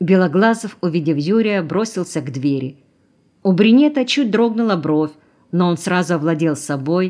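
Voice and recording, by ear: The intonation here is lively. Someone reads aloud in a natural voice.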